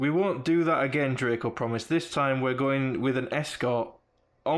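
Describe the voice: The reading is plain and read aloud, with pitch that varies in an ordinary way.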